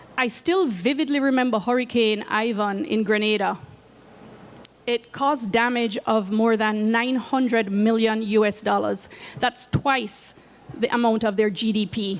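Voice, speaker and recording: A woman speaks at a fairly high pitch with a Jamaican accent. Her pace is fairly slow, her pitch varies in an ordinary way, and her loudness stays very even. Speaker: climate finance program coordinator. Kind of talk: presentation talk. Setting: seated presentation at conference media zone.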